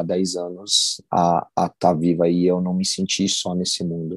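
A man with a very deep, low voice is recorded with a dry, close sound, no echo, and a quiet background. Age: 30s. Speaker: hardcore band vocalist. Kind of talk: casual interview chat.

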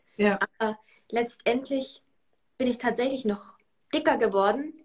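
Speaking very slowly, a woman uses a fairly high pitch that varies in an ordinary way. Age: 20s. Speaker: self-love coach and former swimmer. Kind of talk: interview.

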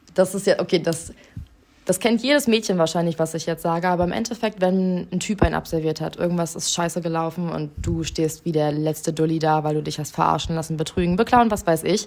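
An ordinary speaking voice from a woman, fairly low in pitch, at a fairly quick pace with ordinary pitch variation. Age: 20s. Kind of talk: interview.

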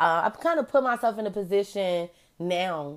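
A woman speaks in an animated tone at a moderate pace. The recording is very clean, with a silent background. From Chicago. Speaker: podcast host. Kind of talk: casual solo podcast monologue.

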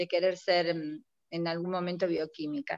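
A woman in an Argentine accent, recorded with a dry, close sound and no echo. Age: 50s. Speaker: retired chemistry teacher and school principal. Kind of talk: casual interview.

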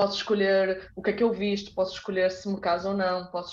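A woman's medium-pitched voice at a moderate pace. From northern Portugal (Porto, Braga). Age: 30s. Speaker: dancer and dance teacher. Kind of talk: casual interview chat.

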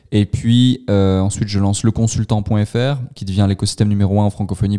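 The voice has a dark, mellow tone and fairly even intonation, captured in a dry, close sound with no echo on a very clean recording with a silent background. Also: man. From Switzerland, canton of Vaud. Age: 20s. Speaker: entrepreneur. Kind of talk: interview.

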